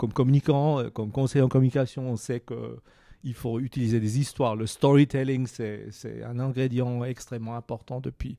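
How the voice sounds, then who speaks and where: Here a man speaks at a moderate pace in a dark, mellow tone at medium pitch, his intonation fairly even. The recording is very clean, with a silent background. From Switzerland, Basel. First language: Swiss German (Basel dialect) (speaking French). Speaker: communication consultant and author. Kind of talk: interview. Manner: halting, many repetitions and fillers.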